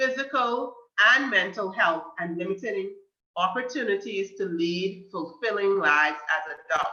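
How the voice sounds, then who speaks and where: A woman speaks with a Bahamian accent at a medium pitch. Her pace is moderate and her intonation lively. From Bahamas, Grand Bahama. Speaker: guest speaker on mental health. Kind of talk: talk to a youth group. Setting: video call.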